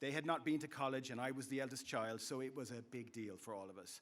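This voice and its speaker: A man with an Irish accent, fairly quick in pace, bright and sharp in tone. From west of Ireland, County Clare. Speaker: commencement speaker, university instructor. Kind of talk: commencement speech. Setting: stage with audience.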